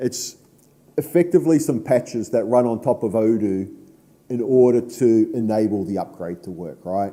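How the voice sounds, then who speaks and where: A man with a New Zealand accent speaks at a moderate pace and medium pitch. His tone is dark and mellow, and his intonation is lively. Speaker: conference speaker, software association board member. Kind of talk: conference talk.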